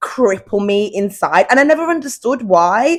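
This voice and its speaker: A woman speaks in an animated tone with lively intonation. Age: 30s. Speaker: podcast host. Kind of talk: casual chat. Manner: loud.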